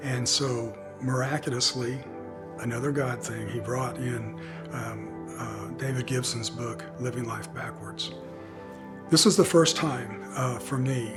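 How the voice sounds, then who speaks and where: The speaker goes at a fairly slow pace. Music plays in the background. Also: man. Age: 60s. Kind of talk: personal testimony. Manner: reflective, conversational.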